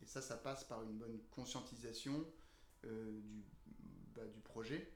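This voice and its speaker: Speaking very slowly with a fairly even intonation, a man uses a medium pitch. The room echo is audible. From northern France, Lille area. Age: 30s. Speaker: co-founder of a food waste composting business. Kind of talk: interview. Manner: halting, many fillers.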